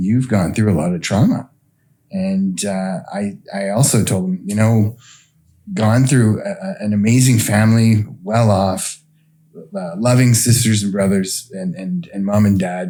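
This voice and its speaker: At a fairly slow pace, a man speaks in an ordinary speaking voice, fairly low in pitch, with ordinary pitch variation. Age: 50s. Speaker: recovering addict guest. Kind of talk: testimony. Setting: on a couch.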